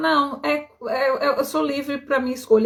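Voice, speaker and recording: A woman's voice with ordinary pitch variation, on a very clean recording against a silent background. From Bahia, Brazil. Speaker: skin healing coach. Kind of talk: live stream talk to viewers. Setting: live stream. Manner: casual, conversational.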